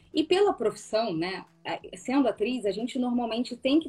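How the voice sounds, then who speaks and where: Noticeable background noise behind a woman speaking at a moderate pace. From Rio de Janeiro, Brazil. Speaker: actress and student. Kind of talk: casual interview chat.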